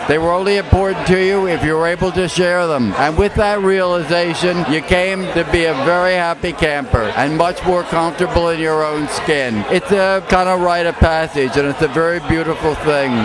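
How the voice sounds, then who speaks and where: A man talks with hardly any pauses, his pitch high. Noticeable background noise runs underneath. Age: 70s. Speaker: drag performer and tarot reader. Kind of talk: tarot reading. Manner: theatrical.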